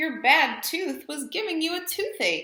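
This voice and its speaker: Her pace is fairly slow. A woman performs a put-on character voice pitched extremely high. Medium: read story.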